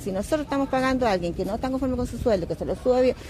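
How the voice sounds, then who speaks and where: A woman's high-pitched voice at a very fast pace, with ordinary pitch variation and noticeable background noise. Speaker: voter. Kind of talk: street interview.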